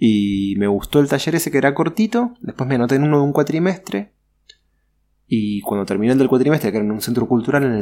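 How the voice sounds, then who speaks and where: A man with a Rioplatense accent, fairly quick pace and ordinary pitch variation, on a very clean recording with a silent background. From Buenos Aires, Argentina. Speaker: sign painter and artist. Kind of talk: interview.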